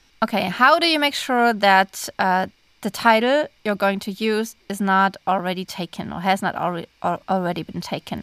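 Recorded dry and close with no echo over a silent background in a very clean recording, a woman with a German accent speaks at a medium pitch and moderate pace, with ordinary pitch variation and hardly any pauses. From Germany. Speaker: podcast co-host, author. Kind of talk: casual chat.

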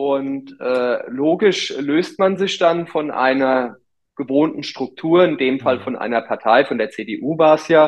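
The man speaks at a very slow pace. His pitch is fairly high. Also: ordinary pitch variation. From Rheinhessen, Germany. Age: 30s. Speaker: mayor. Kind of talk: interview. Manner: halting, many fillers.

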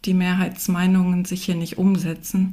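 A somewhat breathy woman's voice at a medium pitch, dark and mellow in tone, with monotone, flat intonation. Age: 50s. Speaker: economist, researcher. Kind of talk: panel discussion. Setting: remote call.

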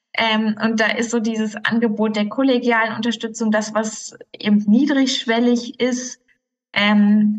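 This woman's voice sits fairly high in pitch. It comes across somewhat breathy. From Germany, Ruhr area. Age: 30s. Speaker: physician. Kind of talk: interview. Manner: hesitant, many fillers.

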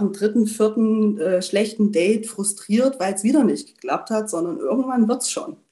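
At a fairly slow pace, a woman talks in a somewhat breathy voice with fairly high pitch and ordinary pitch variation. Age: 30s. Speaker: coaching client, HR department head. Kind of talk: interview testimony.

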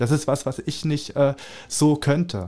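A man's fairly high voice carries a dark, mellow tone and ordinary pitch variation. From Germany, Spreewald (Brandenburg). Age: 20s. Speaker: artist. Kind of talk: interview. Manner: halting, many fillers.

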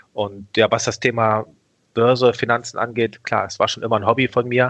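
This man's pitch is medium and his pace moderate. He speaks in a monotone, flat intonation with long, frequent pauses. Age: 40s. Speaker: online broker executive. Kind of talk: interview. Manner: hesitant with many fillers.

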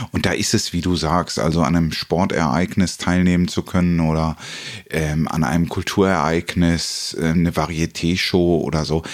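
A man speaks in a very deep, low voice. His pace is moderate. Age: 50s. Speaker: podcast host. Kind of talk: casual interview.

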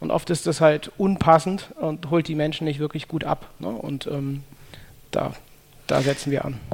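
Long, frequent pauses break up fairly slow speech with fairly even intonation. Noticeable background noise runs underneath. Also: man, fairly high pitch for a man. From Germany, Cologne. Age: 30s. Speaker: sales psychology consultant. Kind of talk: interview.

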